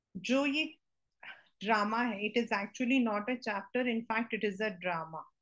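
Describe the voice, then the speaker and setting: A plain, everyday voice at a moderate pace, with ordinary pitch variation over a quiet background. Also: woman, fairly high pitch for a woman. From India. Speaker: teacher. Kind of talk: lecture. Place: home room. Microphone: webcam.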